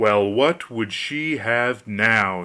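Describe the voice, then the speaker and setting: A man puts on a character voice at a medium pitch. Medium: read story. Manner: terse, calm.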